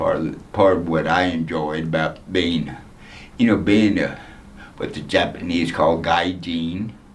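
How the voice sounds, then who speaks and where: A man's very deep, low voice with an American accent, fairly slow and fairly even, broken by long, frequent pauses, with audible room echo. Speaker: former development volunteer. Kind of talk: interview reminiscence. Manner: hesitant with fillers.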